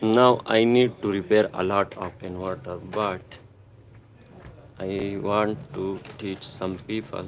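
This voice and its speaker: A man with a Pakistani accent talks at a very slow pace in a fairly low pitch. His intonation stays fairly even, broken by long, frequent pauses. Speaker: electronics repair technician. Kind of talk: live-stream repair tutorial. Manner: halting.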